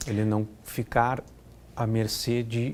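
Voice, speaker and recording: With a slight Curitiba accent, a man talks at a medium pitch in a dark, mellow tone. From Curitiba, southern Brazil. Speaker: risk management consultant. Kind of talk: interview.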